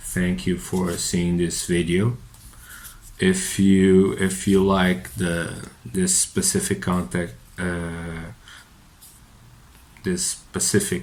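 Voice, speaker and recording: In a Portuguese accent, a man with a very deep, low pitch speaks very slowly, with long, frequent pauses and ordinary pitch variation. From Portugal. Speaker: psychotherapist. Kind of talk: unscripted monologue. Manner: halting, many fillers and repetitions.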